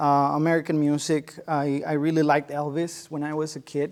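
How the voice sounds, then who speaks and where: A man speaks with a Spanish accent at a fairly slow pace. His pitch sits fairly high. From Mexico, small town. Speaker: guest lecturer, musician. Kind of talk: lecture. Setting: lecture hall with students. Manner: halting, many fillers.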